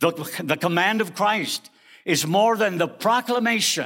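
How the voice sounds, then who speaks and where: A man with an American accent, a bright, sharp tone, lively intonation and a fairly slow pace, on a very clean recording with a silent background. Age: 70s. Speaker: preacher and seminary teacher. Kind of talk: sermon. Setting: chapel.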